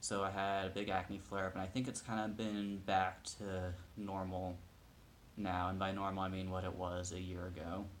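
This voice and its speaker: In a room with audible echo, a man speaks with a very deep, low pitch and monotone, flat intonation. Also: moderate pace. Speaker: video blogger. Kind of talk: casual personal update vlog. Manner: hesitant, many fillers.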